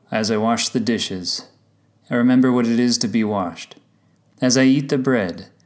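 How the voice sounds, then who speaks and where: A man is speaking here. His pitch is medium and his pace moderate. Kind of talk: spoken word poem, reflective reading. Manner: measured, contemplative.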